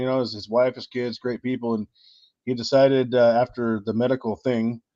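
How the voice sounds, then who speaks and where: There is a dry, close sound with no echo as a man speaks at medium pitch. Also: quiet background. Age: 40s. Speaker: live stream host. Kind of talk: casual chat. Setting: live stream. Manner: animated.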